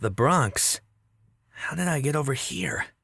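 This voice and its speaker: A raspy, put-on character voice at a low-to-middle pitch moves at a fairly slow pace. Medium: audio drama. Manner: panicked, exclamatory.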